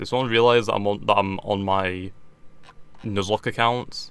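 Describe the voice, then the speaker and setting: A man with a British accent speaks at a fairly low pitch and a moderate pace. His tone is bright and sharp, and his intonation fairly even. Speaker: gaming YouTuber. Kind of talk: gameplay commentary. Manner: stuttering.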